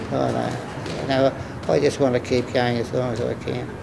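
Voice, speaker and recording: An Australian accent in a monotone, flat delivery at a moderate pace over noticeable background noise. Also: man. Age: 80s+. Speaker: former boxer. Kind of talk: interview answer.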